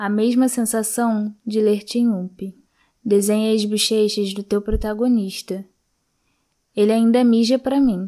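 Speaking at a fairly slow pace with long, frequent pauses, a woman uses a dark, mellow tone, a fairly high pitch and monotone, flat intonation, captured in a very clean recording with a silent background. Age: 20s. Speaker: library reader, student. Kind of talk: reading aloud.

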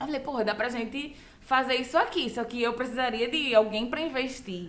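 With audible room echo, a woman speaks at a high pitch and a moderate pace, her pitch varying in an ordinary way. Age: 20s. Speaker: comedy producer. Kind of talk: casual chat.

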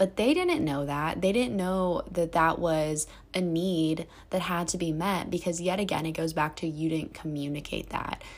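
An unremarkable speaking voice moves at a moderate pace with fairly even intonation on a very clean recording with a silent background. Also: woman. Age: 20s. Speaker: solo podcaster, college student. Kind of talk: casual monologue. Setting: apartment bedroom.

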